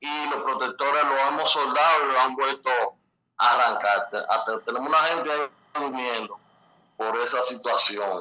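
Long, frequent pauses break up the speech. The intonation is fairly even. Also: man, fairly high pitch for a man. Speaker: community center committee member. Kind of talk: phone-in interview.

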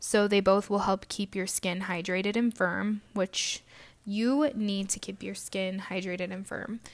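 Over a very clean recording with a silent background, a woman with an unremarkable speaking voice talks at a medium pitch and a fairly slow pace with fairly even intonation. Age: 20s. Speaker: podcast host and esthetician. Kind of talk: solo podcast monologue.

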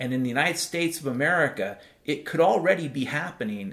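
The pace is moderate in this plain, everyday voice. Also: man. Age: 50s. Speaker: podcast host. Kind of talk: solo monologue podcast. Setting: home.

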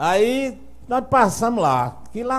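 A man with a Paraíba accent sounds somewhat breathy, his pitch swinging very widely. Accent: Northeastern Brazilian (Paraíba). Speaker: singer-songwriter. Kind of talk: casual chat, live-streamed podcast interview.

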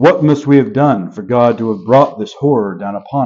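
This unforced reading voice moves through ordinary pitch variation.

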